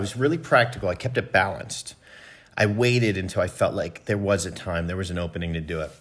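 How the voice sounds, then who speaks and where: The recording is very clean, with a silent background. A man with an American accent speaks at a fairly low pitch with ordinary pitch variation. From US, Philadelphia suburbs. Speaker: music production company co-founder. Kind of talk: interview testimony. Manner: hesitant, many fillers.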